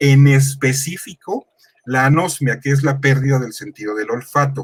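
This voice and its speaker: Somewhat breathy, a man speaks at a fairly high pitch and a fairly slow pace. His intonation stays fairly even. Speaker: panelist explaining medical research. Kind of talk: live panel explanation.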